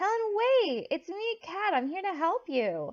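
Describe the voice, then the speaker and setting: A woman puts on a squeaky character voice at an extremely high pitch. She talks at a moderate pace. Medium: read story. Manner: blunt.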